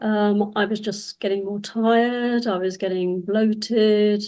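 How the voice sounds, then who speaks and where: A woman's medium-pitched voice in a British accent, with fairly even intonation. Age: 70s. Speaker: cancer survivor. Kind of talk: testimony. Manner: halting.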